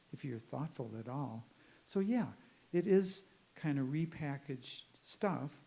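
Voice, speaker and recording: Somewhat breathy, with a dark, mellow tone, a man speaks in a Midwestern American accent at a fairly high pitch. His pace is fairly slow, his intonation lively, and his pauses long and frequent. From US Midwest, northern Illinois. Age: 70s. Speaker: professor. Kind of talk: conference talk with audience Q&A. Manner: conversational, halting.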